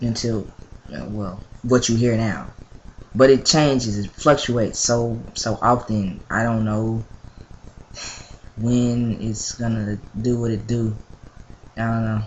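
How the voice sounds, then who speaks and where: A man with a medium pitch and a somewhat breathy voice speaks at a very slow pace. His intonation is fairly even, with long, frequent pauses. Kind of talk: casual vlog update. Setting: at mother's house, home video. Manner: hesitant, many fillers.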